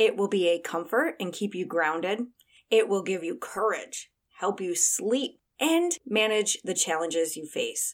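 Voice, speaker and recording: A woman with a plain, everyday voice talks at a fairly slow pace with lively intonation. The recording is very clean, with a silent background. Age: 40s. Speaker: life and wellness coach, podcast host. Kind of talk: solo podcast monologue, motivational talk. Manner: warm, encouraging.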